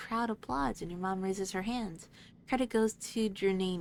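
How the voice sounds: Reading aloud in a natural voice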